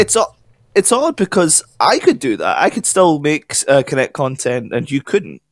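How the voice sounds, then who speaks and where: Recorded with a dry, close sound and no echo, a man talks with a Scottish accent. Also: moderate pace, very clean recording, silent background. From Scotland. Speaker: podcast co-host. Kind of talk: casual chat.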